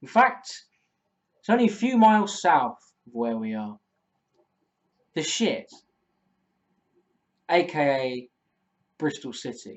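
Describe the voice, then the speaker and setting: With an Essex accent, a man speaks at a fairly slow pace with long, frequent pauses. His fairly high voice moves in very wide pitch swings. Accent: Essex accent, noticeable. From Essex, England. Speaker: football fan vlogger. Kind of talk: vlog commentary, opinion monologue.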